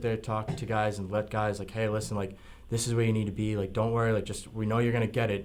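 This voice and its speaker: In an American accent, a man with a fairly low pitch talks at a very fast pace in a monotone, flat intonation, and audible room echo fills the space. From Massachusetts, East Bridgewater. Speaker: semi-pro football player. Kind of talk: radio interview. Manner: hesitant, filler-heavy.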